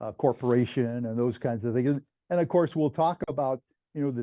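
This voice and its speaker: Against a quiet background, a man speaks at a medium pitch in a dark, mellow tone with ordinary pitch variation. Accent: American. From New York City (Manhattan). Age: 70s. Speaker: retired lawyer and author. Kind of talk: interview. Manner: halting, many fillers.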